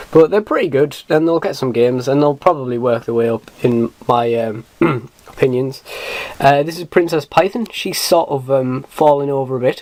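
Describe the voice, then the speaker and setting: Speaking with a British accent at a moderate pace, a man has a fairly high pitch and ordinary pitch variation. Noticeable background noise is present. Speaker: miniatures collector. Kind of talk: casual talk to camera. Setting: poor camera recording. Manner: hesitant, many fillers.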